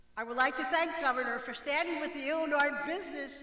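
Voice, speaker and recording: Audible room echo and noticeable background noise surround a woman's voice. She speaks at high pitch with ordinary pitch variation. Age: 70s. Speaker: retired health center director. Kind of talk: prepared speech.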